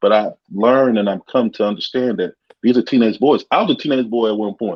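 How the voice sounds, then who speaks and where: A man with an ordinary speaking voice holds a medium pitch while talking at a fairly quick pace. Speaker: podcast host. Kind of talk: casual interview chat.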